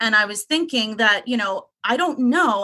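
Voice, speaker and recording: A woman speaks at a moderate pace. Her voice is fairly high-pitched, with a bright, sharp tone. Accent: New York. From Long Island, New York. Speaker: caller. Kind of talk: casual chat.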